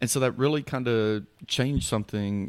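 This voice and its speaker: An ordinary speaking voice from a man with an American accent, moderate pace and ordinary pitch variation, on a very clean recording with a silent background. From Houston, Texas. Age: 40s. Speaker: poet and author. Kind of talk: casual chat.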